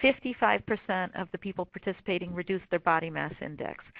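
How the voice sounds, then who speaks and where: Here is a woman with a plain, everyday voice at a medium pitch. She speaks fairly quickly with ordinary pitch variation. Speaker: corporate wellness program manager. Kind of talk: webinar presentation. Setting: webinar.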